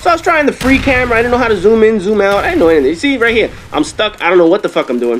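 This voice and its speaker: Against noticeable background noise, a man talks at a very fast pace in an animated tone, his pitch swinging very widely. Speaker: gaming commentator. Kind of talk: gameplay commentary.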